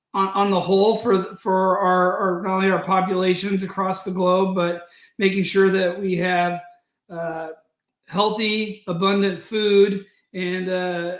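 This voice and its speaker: A man talks in a high voice with an American accent at a fairly slow pace. His intonation is monotone and flat, and the room echo is audible. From US Midwest, Nebraska/Colorado. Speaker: agribusiness sustainability professional. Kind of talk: webinar presentation. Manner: hesitant, many fillers and repetitions.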